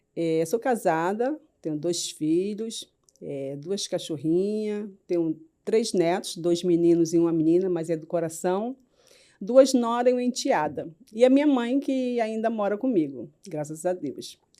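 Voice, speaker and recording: Lively in intonation, a woman speaks at medium pitch and a fairly slow pace, her tone dark and mellow. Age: 50s. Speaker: cancer survivor, patient. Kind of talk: interview testimony.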